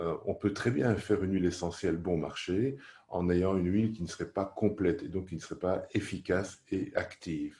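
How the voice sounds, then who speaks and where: Over a very clean recording with a silent background, a man talks at a moderate pace in a very deep, low pitch, his tone dark and mellow, somewhat breathy, with ordinary pitch variation. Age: 60s. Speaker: aromatherapy teacher. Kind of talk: course presentation.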